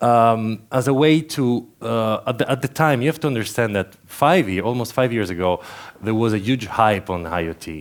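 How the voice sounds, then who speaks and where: A man with an Italian accent speaks at a moderate pace. His pitch is medium and his intonation lively. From Italy, Turin. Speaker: conference speaker. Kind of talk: conference talk. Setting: stage with audience. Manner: halting, with many fillers and repeats.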